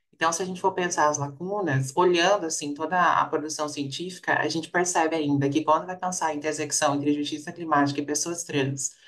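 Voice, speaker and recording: This woman's voice sits very deep and low, with fairly even intonation. She speaks at a fairly quick pace with hardly any pauses, over noticeable background noise. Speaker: researcher. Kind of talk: panel discussion. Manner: fast.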